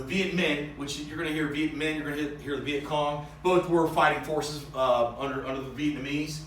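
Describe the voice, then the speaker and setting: There is audible room echo and noticeable background noise as a man talks in a fairly high pitch. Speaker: high school history teacher. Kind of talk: recorded lecture. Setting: empty conference room. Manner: halting, many fillers and repeats.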